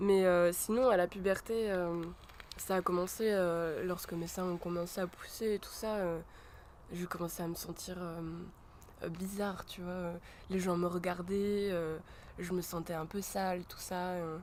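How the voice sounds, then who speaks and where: A woman talks fairly slowly with a fairly low pitch, a monotone, flat intonation and long, frequent pauses. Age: 20s. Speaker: art student. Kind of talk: interview. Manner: halting, many filler sounds.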